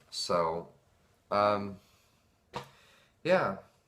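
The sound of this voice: A man speaks in a nervous, fairly bright tone.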